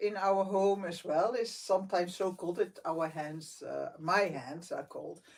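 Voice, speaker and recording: Amid noticeable background noise, a woman speaks at a fairly slow pace with hardly any pauses and big swings in loudness. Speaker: meditation vlogger. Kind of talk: casual chat. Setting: live stream from bedroom at night.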